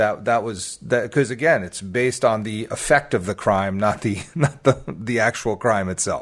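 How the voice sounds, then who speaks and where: A man with an unremarkable speaking voice, medium in pitch with ordinary pitch variation, at a moderate pace with hardly any pauses, over a quiet background. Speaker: hockey podcast co-host. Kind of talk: casual chat.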